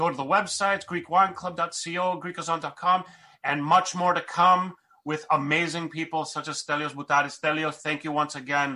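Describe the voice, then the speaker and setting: Against a quiet background, a man with an American accent speaks at a moderate pace and a fairly high pitch, his tone bright and sharp and his intonation fairly even. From US. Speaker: podcast host. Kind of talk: podcast intro and interview. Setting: video call.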